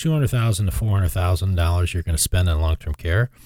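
Somewhat breathy and full of lively intonation, a man's voice comes through a very clean recording with a silent background and a dry, close sound with no echo. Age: 50s. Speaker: financial advisor. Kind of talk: casual chat.

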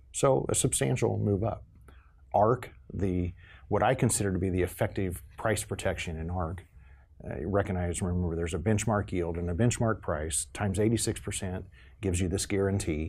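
With vocal fry, a man speaks at a very deep, low pitch with ordinary pitch variation. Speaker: agricultural extension educator. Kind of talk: interview explaining farm programs. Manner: halting, many fillers.

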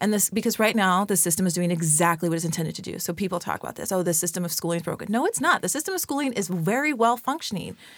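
A woman with an American accent, medium pitch, lively intonation, a very fast pace and hardly any pauses. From Southern California (San Bernardino). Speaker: educator and organizer. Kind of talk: interview conversation. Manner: loud.

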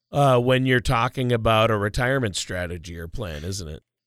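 In a very clean recording with a silent background and a dry, close sound with no echo, a man uses an ordinary speaking voice at a medium pitch, a moderate pace and lively intonation. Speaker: co-host. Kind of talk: radio show discussion. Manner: joking, playful.

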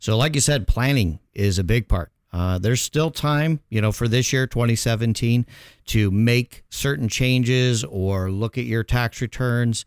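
A man's medium-pitched, plain, everyday voice with ordinary pitch variation, at a fairly slow pace, dry and close with no echo, on a very clean recording with a silent background. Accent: American. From Chicago, US Midwest. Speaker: accountant and tax professional. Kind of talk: radio interview.

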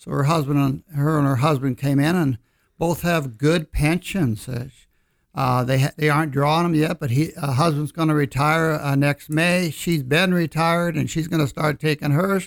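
A man with a fairly high pitch speaks in a plain, everyday voice at a moderate pace with fairly even intonation. The sound is dry and close with no echo, on a very clean recording with a silent background. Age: 60s. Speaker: financial advisor. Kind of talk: casual chat on radio show. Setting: studio.

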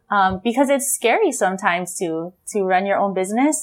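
In a Hawaiian accent, a woman talks in an animated tone with ordinary pitch variation. The recording is very clean with a silent background. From Hawaii, Wai'anae district (Oahu). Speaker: Hawaiian language nonprofit founder. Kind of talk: casual interview. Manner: animated, laughs often.

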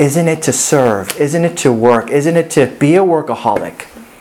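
Moderate pace over noticeable background noise. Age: 40s. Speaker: pastor. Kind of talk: sermon.

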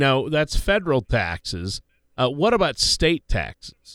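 A man's fairly high voice carries vocal fry in a very clean recording with a silent background and a dry, close sound with no echo. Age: 50s. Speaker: radio co-host and announcer. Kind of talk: casual chat.

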